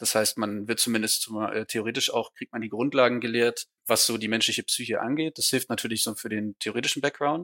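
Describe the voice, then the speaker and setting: Recorded very cleanly over a silent background, a man speaks with fairly even intonation and a bright, sharp tone. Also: medium pitch for a man. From Schleswig-Holstein, northern Germany (small town). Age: 20s. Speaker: police officer and police student. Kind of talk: interview.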